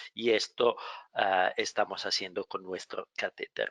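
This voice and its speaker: A man with a non-native accent, in a dry, close sound with no echo. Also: quiet background. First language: not Spanish (speaking Spanish). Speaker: medical device company representative, webinar moderator. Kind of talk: webinar moderation; product presentation. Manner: halting.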